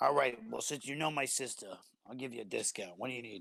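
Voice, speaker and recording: A man does a raspy put-on character voice at medium pitch. He talks at a very fast pace. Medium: actual play. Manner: casual, gruff, salesman-like.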